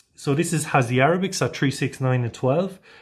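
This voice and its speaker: Somewhat breathy, a man with an Irish accent speaks at a fairly high pitch. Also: very clean recording, silent background. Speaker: watch reviewer, channel owner. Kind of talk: product review. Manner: casual, hesitant with fillers.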